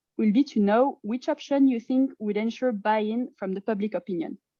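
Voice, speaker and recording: A woman speaks with a French accent at a fairly high pitch. Her pace is fairly quick and her intonation lively. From France. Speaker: climate advocacy presenter. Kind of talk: presentation.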